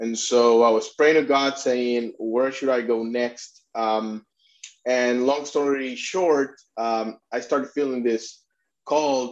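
Over a quiet background, a man with a Spanish accent speaks at a fairly slow pace and medium pitch, keeping his intonation fairly even. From Puerto Rico. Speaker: immigration attorney and refugee advocate. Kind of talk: interview.

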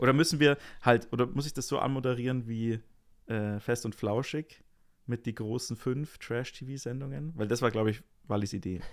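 A man at medium pitch with an ordinary speaking voice, ordinary pitch variation and a moderate pace, on a very clean recording with a silent background. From Rosenheim, Bavaria. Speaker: podcast co-host, jazz musician. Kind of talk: casual chat.

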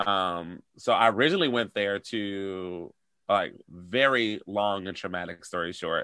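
A man speaks at a fairly slow pace with an American accent, his pitch fairly low. He has a plain, everyday voice with ordinary pitch variation. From Detroit, US. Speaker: choreographer and actor. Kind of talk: casual interview chat. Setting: video call.

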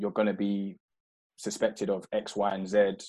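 A man with a South London accent speaks at a fairly low pitch. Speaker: former footballer. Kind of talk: interview. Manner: halting.

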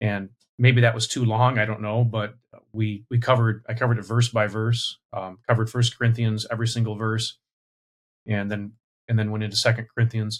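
Somewhat breathy, monotone and flat delivery at a fairly quick pace. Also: man, medium pitch for a man. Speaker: pastor. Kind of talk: casual panel discussion.

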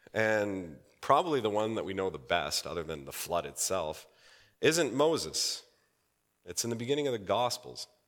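This man's voice sits fairly low, with vocal fry and very wide pitch swings. He keeps a moderate pace. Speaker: pastor. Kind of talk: sermon. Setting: church.

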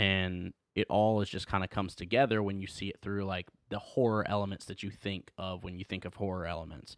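With an unremarkable speaking voice, a man talks at a fairly quick pace and fairly low pitch with fairly even intonation, in a very clean recording with a silent background. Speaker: co-host film reviewer. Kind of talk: casual chat.

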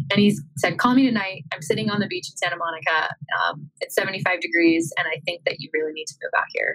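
The speech moves at a fairly quick pace, with big swings in loudness. Music plays in the background. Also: woman, medium pitch for a woman, ordinary pitch variation. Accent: American. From rural Iowa, US Midwest. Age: 20s. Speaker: social media manager. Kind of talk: interview conversation.

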